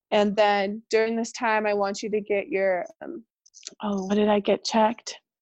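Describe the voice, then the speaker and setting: With a normal speaking voice and an American accent, a woman talks at a moderate pace and fairly high pitch, her intonation fairly even and the sound dry and close with no echo. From California. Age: 20s. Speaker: podcast guest sharing miscarriage story. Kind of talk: personal testimony in casual interview.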